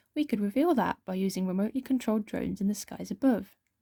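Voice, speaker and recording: A soft-spoken woman with a British accent talks at a very fast pace in a fairly high pitch with ordinary pitch variation. Her tone is dark, mellow and somewhat breathy, the sound dry and close with no echo. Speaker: ASMR creator. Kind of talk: reading aloud.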